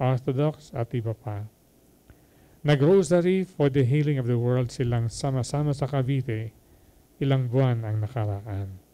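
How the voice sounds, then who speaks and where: With a dark, mellow tone, a man speaks at a fairly slow pace with ordinary pitch variation. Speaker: homilist. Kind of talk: homily. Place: hall. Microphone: handheld.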